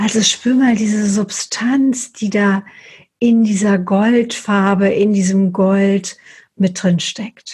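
Her soothing, gentle tone is somewhat breathy and sits at a medium pitch. The woman speaks at a very slow pace with fairly even intonation. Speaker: meditation guide. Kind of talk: guided meditation. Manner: slow, soft, soothing; gentle, unhurried pacing with pauses.

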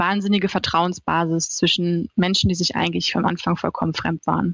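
Her speech comes at a fairly quick pace, a woman with an ordinary speaking voice, fairly low pitch and fairly even intonation, in a dry, close sound with no echo. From Hannover, northern Germany. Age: 30s. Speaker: social media manager. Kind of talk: interview.

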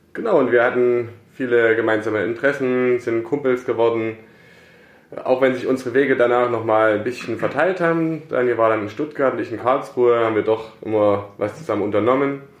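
A man talks at a medium pitch with fairly even intonation, in a plain, everyday voice. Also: fairly quick pace. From Saxony, Germany (Plauen). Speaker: coffee importer, company co-founder. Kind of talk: casual interview. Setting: office.

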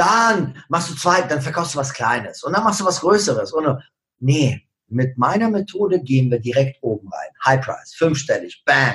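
Moderately paced speech from a man with a non-native accent, high-pitched and lively in intonation. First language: not German (speaking German). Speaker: social media marketing coach. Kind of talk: podcast interview.

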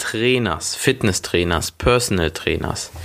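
A man talks at a fairly slow pace in a plain, everyday voice. His pitch is medium, with ordinary pitch variation. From Germany, Schwelm near Wuppertal. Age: 20s. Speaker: personal trainer and gym owner. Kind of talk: solo podcast monologue.

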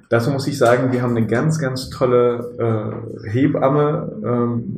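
A man speaks with fairly even intonation. Audible room echo and noticeable background noise surround his voice. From Germany, Bonn area, partly raised in Morocco. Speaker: business team coach and father of five. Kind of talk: casual interview. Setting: at a dining table at home.

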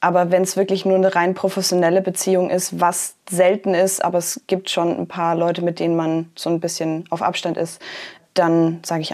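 The speaker keeps a moderate pace. The intonation is monotone and flat. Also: woman. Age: 20s. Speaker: poetry slammer and author. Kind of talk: interview.

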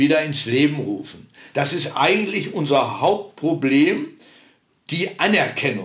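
This man's fairly high voice moves at a very slow pace, with audible echo from the room. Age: 70s. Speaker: dialect preservation society member. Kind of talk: casual interview.

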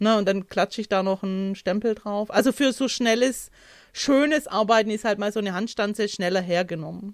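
A woman with an unremarkable speaking voice talks at a fairly quick pace. Her pitch is medium, with ordinary pitch variation. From Hohenlohe, Baden-Württemberg. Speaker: craft demonstrator. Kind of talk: casual chat.

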